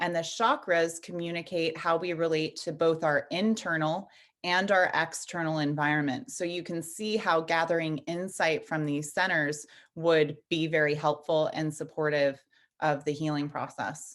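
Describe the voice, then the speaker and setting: Against a quiet background, a woman speaks in a plain, everyday voice at a fairly low pitch and a moderate pace. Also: fairly even intonation. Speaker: energy healing teacher and nutritionist. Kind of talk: interview.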